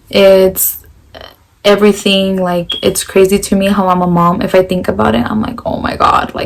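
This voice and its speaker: Noticeable noise fills the background. Over it, a woman talks with ordinary pitch variation. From US Pacific Northwest, Pasco, Washington. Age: 20s. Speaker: vlogger, stay-at-home mom. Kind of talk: casual Q&A vlog.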